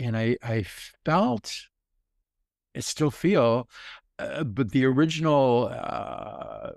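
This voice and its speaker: At a very slow pace, a man speaks on a very clean recording with a silent background. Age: 70s. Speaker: intimacy teacher, elder. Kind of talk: interview answer. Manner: slow, reflective.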